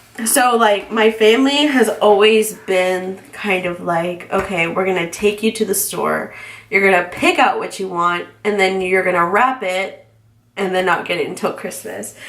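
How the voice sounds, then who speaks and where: Noticeable background noise fills the clip. A woman talks at a moderate pace and a medium pitch. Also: ordinary pitch variation. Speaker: planner hobbyist. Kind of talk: casual talk to camera. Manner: chatty, rambling.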